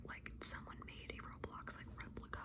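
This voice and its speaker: The voice belongs to a woman. It comes out as a whisper. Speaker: ASMR creator. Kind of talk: casual ramble to camera. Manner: whispered, soft-spoken. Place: home room. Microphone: phone near.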